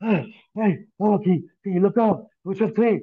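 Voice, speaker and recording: A man speaks at a fairly slow pace in a put-on character voice, pitched high. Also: ordinary pitch variation. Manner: urgent.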